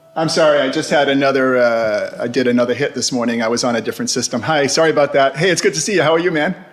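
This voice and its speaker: Very fast speech from a man with a fairly high pitch, ordinary pitch variation, hardly any pauses and noticeable background noise. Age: 60s. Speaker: ocean shipping industry veteran. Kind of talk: casual interview. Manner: hesitant, many fillers.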